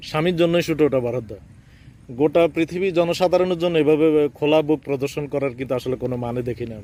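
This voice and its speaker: A man's fairly high voice with a dark, mellow tone and ordinary pitch variation. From Bangladesh, Chandpur. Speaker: poet and vlogger. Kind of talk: travel vlog monologue. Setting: outdoors by railway line. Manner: halting.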